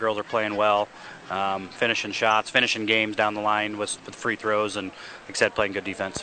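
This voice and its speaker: Over noticeable background noise, a man with an American accent talks at a moderate pace in a monotone, flat intonation. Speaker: girls' high school basketball coach. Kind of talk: pregame interview. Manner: hesitant, frequent ums and uhs.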